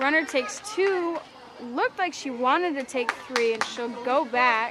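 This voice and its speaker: Amid noticeable background noise, a woman with a high voice speaks at a fairly slow pace with lively intonation. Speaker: live sports commentator. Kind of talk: live commentary. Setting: outdoors on a balcony. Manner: loud. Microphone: camera mic, no microphone.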